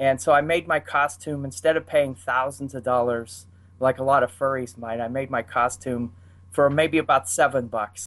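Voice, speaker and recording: In a Pittsburgh accent, a man speaks at a moderate pace with ordinary pitch variation. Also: medium pitch for a man. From Pittsburgh, US. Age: 50s. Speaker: furry. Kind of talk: casual chat. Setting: video call.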